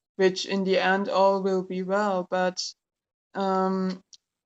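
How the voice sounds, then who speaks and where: Very slow speech with a German accent against a quiet background. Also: woman, dry, close sound with no echo. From Germany. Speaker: tarot YouTuber. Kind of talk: casual product review. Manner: hesitant, many fillers.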